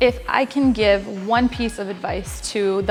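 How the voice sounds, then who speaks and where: Music plays in the background as a woman speaks at a fairly slow pace. Her pitch is fairly high and her intonation fairly even. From Poland, then Connecticut. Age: 20s. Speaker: powerlifter. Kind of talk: interview monologue.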